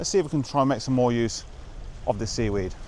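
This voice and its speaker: A man is speaking with ordinary pitch variation. There is noticeable background noise. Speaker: photographer, show presenter. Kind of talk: vlog narration on location. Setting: outdoors by the coast. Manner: quiet, hushed.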